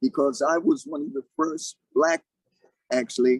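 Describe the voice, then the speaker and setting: At a moderate pace, a man talks in a normal speaking voice with ordinary pitch variation, the sound dry and close with no echo. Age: 60s. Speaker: martial arts grandmaster. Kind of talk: interview.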